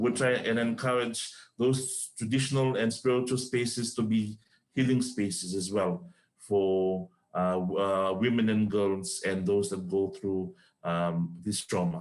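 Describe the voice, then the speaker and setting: Speaking fairly slowly with a non-native accent, a man uses a fairly low pitch and ordinary pitch variation. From Fiji. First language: not English. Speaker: panelist on gender-based violence. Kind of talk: panel discussion. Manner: halting.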